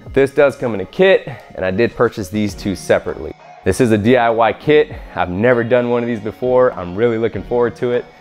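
Faint music plays behind a man who talks very fast with ordinary pitch variation. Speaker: DIY video creator. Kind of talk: tutorial. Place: garage.

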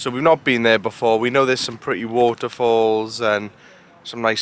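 Recorded with a dry sound and no echo, a man speaks at a fairly quick pace. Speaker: travel vlogger. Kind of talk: casual vlog chat. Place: street. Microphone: phone near.

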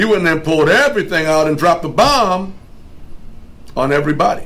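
A man with a high pitch talks at a fairly quick pace. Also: lively intonation. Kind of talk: interview answer. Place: meeting room. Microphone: camera far.

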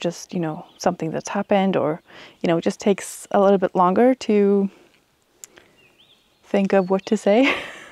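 A woman with a Swedish accent speaks at a moderate pace and medium pitch in a dark, mellow tone with fairly even intonation, in a dry sound with no echo and a quiet background. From Sweden. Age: 30s. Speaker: book reviewer. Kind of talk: casual talk to camera. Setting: outdoors. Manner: hesitant, rambling. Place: garden. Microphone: lapel.

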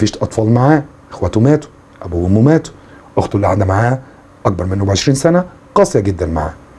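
Here a man talks at a very fast pace in a fairly low voice, with very wide pitch swings. Long, frequent pauses break up his speech. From Egypt. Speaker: English teacher. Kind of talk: lecture. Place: home room.

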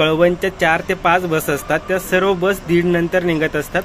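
A man's high-pitched voice, fairly even in intonation, with a dry sound with no echo and light background noise. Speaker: travel vlogger. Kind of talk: casual vlog commentary. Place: station. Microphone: phone near.

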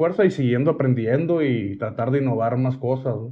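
The man's voice is somewhat breathy. He moves at a moderate pace against a quiet background. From Hermosillo, Sonora, Mexico; Sonora, Mexico. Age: 40s. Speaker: singer and social media creator; social media creator. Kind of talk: casual interview chat. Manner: brusque, forceful delivery often taken as angry. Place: home room.

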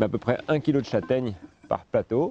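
The man speaks at a fairly slow pace with lively intonation. The sound is dry with no echo, over light background noise. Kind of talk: tutorial. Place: street.

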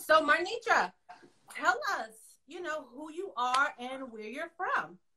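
Against a quiet background, a woman projects a raised voice with a bright, sharp tone, very wide pitch swings, big swings in loudness and a fairly slow pace. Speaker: podcast host. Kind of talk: interview introduction. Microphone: video call.

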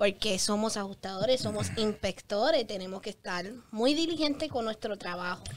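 A woman at a moderate pace, fairly high-pitched and with lively intonation, over light background noise. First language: English (speaking Spanish). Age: 20s. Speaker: public adjuster; guest. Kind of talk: interview. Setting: studio. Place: studio. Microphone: studio mic.

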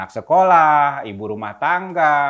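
A man speaks against a quiet background. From Jakarta, Indonesia (Senen, Central Jakarta); Indonesia. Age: young. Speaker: activist and museum founder. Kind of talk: interview. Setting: at his museum. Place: home room.

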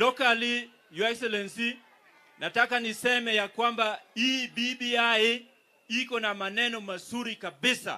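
In a Kenyan accent, a raised, projected voice with a bright, sharp tone speaks at a fairly slow pace. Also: man, extremely high pitch for a man, fairly even intonation. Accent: Kenyan (Luo) English. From Kenya, Migori. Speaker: politician, county governor; politician. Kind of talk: political speech at a rally. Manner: formal. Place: stage. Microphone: handheld.

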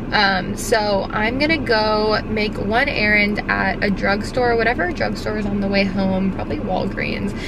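Loud background noise runs behind a woman whose voice has a dry sound with no echo. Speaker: vlogger. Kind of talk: casual vlog chat. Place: car. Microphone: phone near.

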